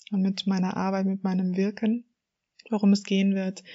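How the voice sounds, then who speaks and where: Somewhat breathy and medium in pitch, a woman speaks with monotone, flat intonation. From northern Germany, Hamburg area. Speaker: coach and podcast host. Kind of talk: solo podcast monologue.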